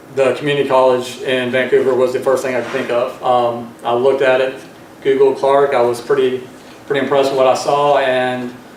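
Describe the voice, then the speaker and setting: A man talks in a Southern US accent. Noticeable background noise and audible room echo fill the recording. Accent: Southern US accent, still noticeable. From US South, Georgia. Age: 40s. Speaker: student veteran. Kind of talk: personal testimony speech. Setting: board meeting audience. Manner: halting, many fillers.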